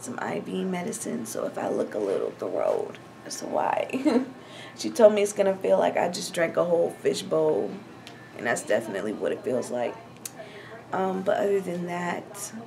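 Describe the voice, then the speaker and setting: Light background noise sits behind a woman who talks at a moderate pace with long, frequent pauses. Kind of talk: casual vlog chat. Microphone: phone near.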